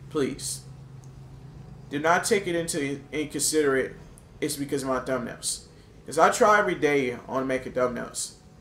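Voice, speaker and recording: A man talks at a moderate pace with a fairly high pitch and ordinary pitch variation. He leaves long, frequent pauses. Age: 20s. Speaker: gaming YouTuber. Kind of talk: gameplay commentary.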